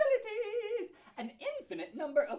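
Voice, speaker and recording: A squeaky, put-on character voice at an extremely high pitch and very fast pace. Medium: stage play. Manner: wry, mocking.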